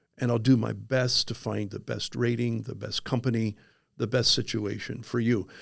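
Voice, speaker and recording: A man talks at a moderate pace with vocal fry. His intonation stays flat and monotone. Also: medium pitch for a man. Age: 60s. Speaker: life insurance agent, former pastor. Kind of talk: podcast interview. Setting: studio. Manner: halting, many fillers and repeats.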